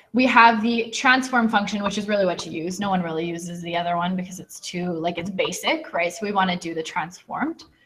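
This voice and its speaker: A woman at a medium pitch, fairly quick with hardly any pauses, big swings in loudness and ordinary pitch variation, amid audible room echo and noticeable background noise. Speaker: teacher. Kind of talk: lecture. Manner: fast.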